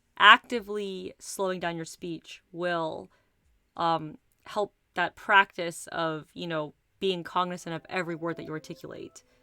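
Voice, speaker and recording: In a very clean recording with a silent background and a dry, close sound with no echo, a woman uses a normal speaking voice at a fairly slow pace and fairly low pitch, her intonation fairly even but her loudness swinging widely. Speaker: livestreamer. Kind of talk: casual chat.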